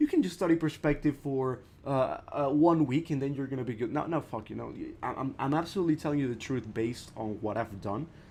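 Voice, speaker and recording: A man with a non-native accent talks at a very fast pace in a dark, mellow tone. His pitch sits fairly high with ordinary variation. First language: not English. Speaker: art teacher streaming. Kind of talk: live stream tutorial. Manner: casual, halting with repetitions.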